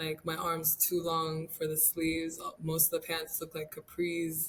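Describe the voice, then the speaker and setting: At a fairly slow pace, a woman speaks in a fairly low pitch with monotone, flat intonation. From Rwanda (Kigali). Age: 19. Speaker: college volleyball player. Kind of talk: interview.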